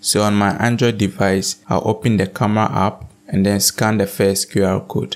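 Speaking at a moderate pace, a man has a fairly low pitch. His pitch moves little.

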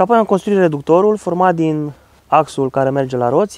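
This is a man speaking. The sound is dry, with no echo. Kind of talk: tutorial. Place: garden.

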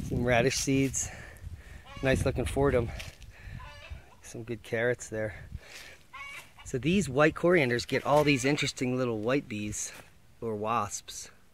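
With light background noise and a dry sound with no echo, a man speaks at a fairly slow pace, with ordinary pitch variation and long, frequent pauses. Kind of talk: casual garden tour narration. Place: garden. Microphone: phone near.

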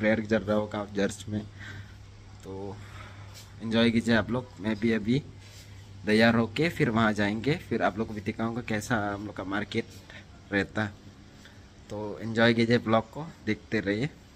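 Light background noise sits behind a man talking at a fairly slow pace with fairly even intonation. He leaves long, frequent pauses. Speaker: vlogger. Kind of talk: casual vlog chat. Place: home room. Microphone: phone near.

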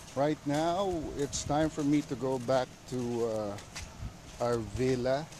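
There is light background noise and a dry sound with no echo. A man speaks with ordinary pitch variation. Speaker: travel vlogger. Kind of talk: casual live-stream tour chat. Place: beach. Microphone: phone near.

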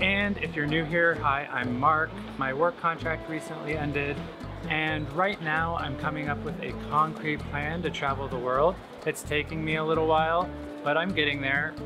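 A man's fairly even intonation over clear music in the background. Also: moderate pace. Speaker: travel vlogger. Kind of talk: casual vlog chat. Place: market. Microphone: phone near.

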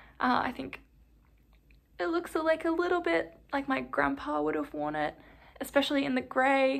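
At a moderate pace, a woman with an Australian accent speaks with long, frequent pauses. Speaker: knitting vlogger. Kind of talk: casual vlog talk. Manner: animated. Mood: relaxed, chatty. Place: home room. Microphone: phone near.

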